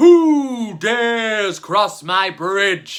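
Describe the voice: A put-on character voice at a fairly high pitch, in a very clean recording with a silent background.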